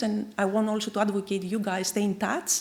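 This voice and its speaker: A woman speaks with a Greek accent at a moderate pace. Her pitch is fairly high. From Greece. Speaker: chemical engineer. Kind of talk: keynote lecture.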